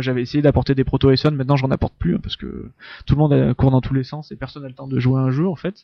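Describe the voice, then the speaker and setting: A man's voice with a dry, close sound and no echo. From France, Drôme (Valence). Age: 30s. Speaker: board game designer. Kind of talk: casual interview.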